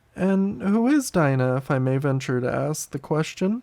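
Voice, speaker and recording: Putting on a character voice, the man pitches himself fairly high and keeps a medium speed. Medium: read story.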